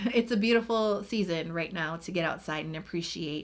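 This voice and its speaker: She has an unremarkable speaking voice. The woman keeps a moderate pace. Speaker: beauty YouTuber. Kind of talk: casual vlog talk to camera.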